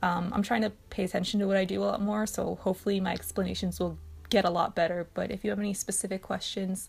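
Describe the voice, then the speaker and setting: A woman talks at a very fast pace in medium pitch. Her delivery is monotone and flat, with vocal fry. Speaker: art channel creator. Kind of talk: art process voiceover. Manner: hesitant, many filler words.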